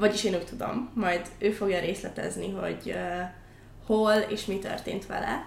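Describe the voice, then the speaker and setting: At a fairly slow pace, a woman talks in a medium pitch with ordinary pitch variation amid audible room echo. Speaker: podcast host. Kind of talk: interview.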